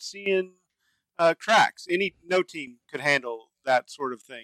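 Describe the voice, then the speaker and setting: With a bright, sharp tone and an American accent, a man talks at a fairly slow pace in a dry, close sound with no echo. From Dallas area, Texas. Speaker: podcast co-host. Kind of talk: casual chat.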